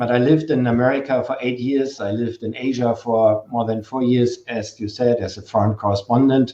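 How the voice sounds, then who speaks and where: A man with a strong German accent at a moderate pace and medium pitch, with hardly any pauses. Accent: heavy German. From Germany. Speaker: novelist, former journalist. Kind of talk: virtual author talk.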